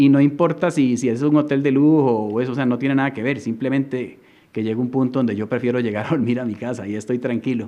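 At a very fast pace, a man with a Costa Rican accent speaks in a medium pitch, his dark, mellow tone carrying fairly even intonation. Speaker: surfer and artist. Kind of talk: casual chat.

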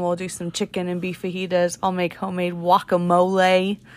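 In a very clean recording with a silent background, a woman speaks at a moderate pace with a fairly low pitch. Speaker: podcast co-host, mother. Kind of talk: casual chat. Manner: animated, laughs often.

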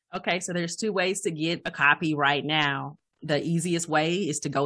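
Against a quiet background, a woman speaks at a moderate pace in a fairly low pitch. Her tone is bright and sharp, with ordinary pitch variation. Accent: Southern US. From Alabama, US South. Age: 30s. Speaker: life coach and pastor. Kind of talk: interview.

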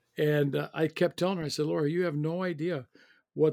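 A man with an American accent has a fairly high pitch and a dark, mellow tone, recorded very cleanly against a silent background with a dry, close sound and no echo. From US Midwest, Illinois. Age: 60s. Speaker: professor. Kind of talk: interview.

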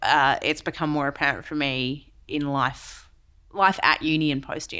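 On a very clean recording with a silent background, a woman with an Australian accent speaks at a moderate pace in a very deep, low pitch, her tone bright and sharp but her intonation monotone and flat. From Western Australia. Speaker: CEO and keynote speaker. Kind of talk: interview.

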